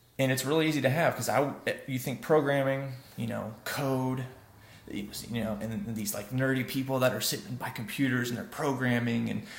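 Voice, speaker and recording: There is audible room echo as a man talks at a medium pitch. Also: ordinary pitch variation, moderate pace. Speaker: web development vlogger. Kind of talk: casual vlog monologue. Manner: soft-spoken; halting, many fillers.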